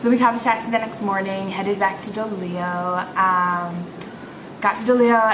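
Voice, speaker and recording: A woman with an American accent talks at a moderate pace and a medium pitch, with ordinary pitch variation. There is audible room echo and noticeable background noise. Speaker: English teacher and vlogger. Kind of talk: casual vlog. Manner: animated.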